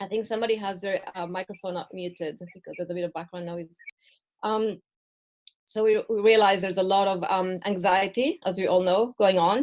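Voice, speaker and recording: The speech moves at a fairly quick pace. Its intonation is fairly even. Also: woman, medium pitch for a woman. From Mexico and Israel. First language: Spanish and Hebrew. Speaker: perinatal mental health educator. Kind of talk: online presentation. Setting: video call from home. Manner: halting.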